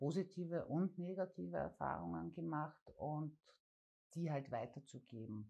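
Fairly slow delivery carries a dark, mellow tone. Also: woman. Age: 40s. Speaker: parent advocate. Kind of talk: interview.

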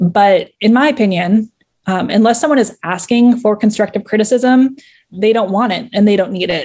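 Her tone is dark and mellow, somewhat breathy, at a medium pitch. The woman talks at a fairly quick pace with ordinary pitch variation. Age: 30s. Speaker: fan fiction writer. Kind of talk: casual interview.

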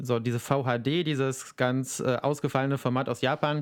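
In a flat, monotone way, a man speaks at a medium pitch. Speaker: podcast co-host and YouTuber. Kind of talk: casual chat. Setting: video call.

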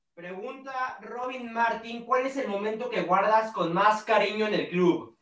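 The pace is fairly slow. There are hardly any pauses. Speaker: show announcer reading viewer questions. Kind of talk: reading out viewer questions.

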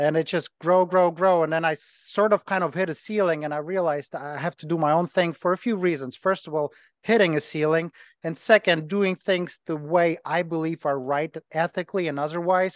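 A man with a Ukrainian accent speaks at a moderate pace in a high pitch, keeping his intonation fairly even. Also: dry, close sound with no echo. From Ukraine. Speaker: personal trainer and gym owner. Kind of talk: casual interview chat.

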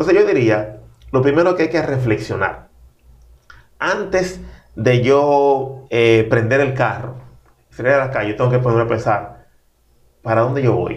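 In a room with audible echo, a man of medium pitch speaks at a fairly slow pace with long, frequent pauses, lively intonation, very even loudness, and a somewhat breathy quality. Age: 40s. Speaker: pastor and author. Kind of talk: interview conversation.

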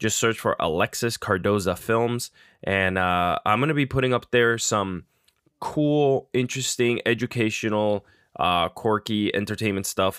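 At a fairly slow pace, a man at medium pitch uses a normal speaking voice with ordinary pitch variation and very even loudness, recorded dry and close with no echo, very cleanly, against a silent background. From Puerto Rico and northern New Jersey. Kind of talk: podcast interview.

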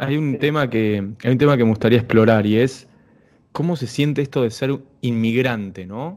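A man speaks in a medium pitch with ordinary pitch variation. He has an ordinary speaking voice. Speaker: podcast host. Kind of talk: casual interview.

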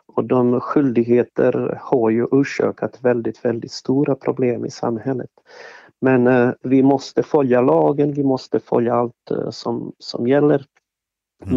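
A man with a Bosnian accent, fairly slow in pace and fairly even in intonation. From Bosnia and Herzegovina (Sarajevo). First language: Bosnian (speaking Swedish). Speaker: event organizer, former strip club owner. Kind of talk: interview. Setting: studio. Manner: halting, many fillers and repetitions.

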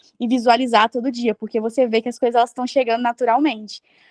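A woman talks in an ordinary speaking voice. Her pitch is fairly high, with fairly even intonation. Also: dry, close sound with no echo. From Brazil. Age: 20s. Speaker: traveler. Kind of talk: interview.

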